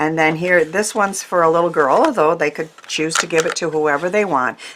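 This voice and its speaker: A woman talks at a fairly low pitch and a fairly quick pace. Her pitch variation is ordinary, and there is noticeable background noise. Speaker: craft YouTuber. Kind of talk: craft tutorial. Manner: hesitant, many fillers.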